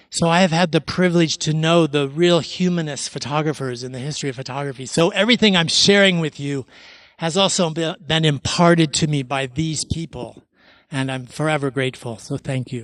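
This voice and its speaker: A man speaks with an American accent in a plain, everyday voice, fairly high-pitched, at a moderate pace with ordinary pitch variation over a quiet background. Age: 60s. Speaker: photographer. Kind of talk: artist talk.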